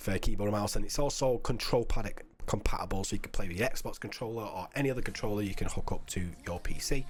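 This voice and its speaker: Music sounds in the background. A man talks fairly quickly. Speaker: game developer presenting demo. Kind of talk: live stream game demo. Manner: fast.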